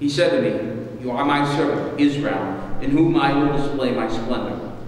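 Strong room echo surrounds a man who speaks fairly slowly with fairly even intonation. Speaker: minister leading worship. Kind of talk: scripture reading. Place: church. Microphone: podium.

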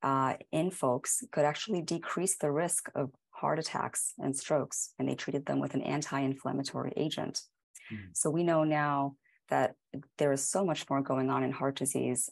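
A woman's very deep, low voice with vocal fry, ordinary pitch variation and a moderate pace, over a quiet background. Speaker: guest. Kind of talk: interview answer. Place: home room. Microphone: earbuds.

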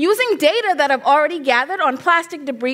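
A woman speaks in an animated tone with very wide pitch swings. Behind her, the background is quiet. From Bahamas. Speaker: graduate student; presenter. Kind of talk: competition presentation. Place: stage. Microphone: headset.

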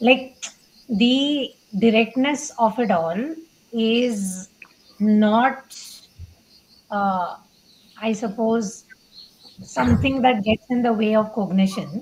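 Light background noise sits under a woman's fairly high voice. She speaks at a very slow pace with long, frequent pauses. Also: ordinary pitch variation. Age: 30s. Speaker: online content creator. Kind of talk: casual chat. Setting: live-streamed video call. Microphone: video call.

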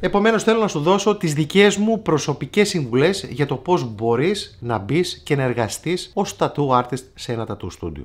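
Vocal fry runs through speech with very wide pitch swings and hardly any pauses. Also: man, fairly high pitch for a man, moderate pace. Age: 40s. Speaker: tattoo artist and YouTuber; YouTuber. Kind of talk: casual vlog advice talk. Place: shop.

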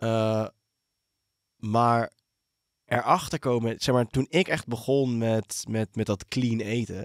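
A man talks at a very slow pace with long, frequent pauses and ordinary pitch variation, in a very clean recording with a silent background. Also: medium pitch for a man. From South Africa and Brabant. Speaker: podcast host. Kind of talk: casual interview conversation. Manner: halting.

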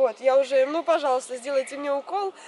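A woman speaks at a high pitch. Light background noise can be heard. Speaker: vlogger. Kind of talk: casual vlog chat. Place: forest.

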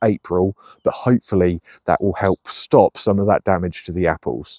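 A man's dark, mellow tone at a fairly quick pace, dry sound with no echo. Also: quiet background. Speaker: allotment gardener vlogger. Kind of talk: casual vlog chat. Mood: cheerful, enthusiastic. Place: garden. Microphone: phone near.

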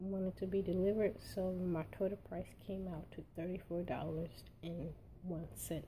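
A dark, mellow, somewhat breathy voice at a fairly slow pace, flat and monotone in intonation. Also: woman. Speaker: unboxing vlogger. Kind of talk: casual talk to camera.

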